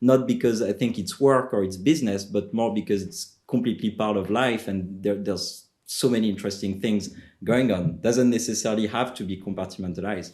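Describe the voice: A man with a French accent talks at a fairly quick pace in a fairly low pitch, with fairly even intonation.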